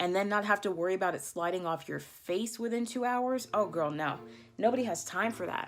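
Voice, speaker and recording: Her tone is animated at a moderate pace. The woman shows ordinary pitch variation. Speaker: beauty vlogger. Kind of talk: makeup tutorial.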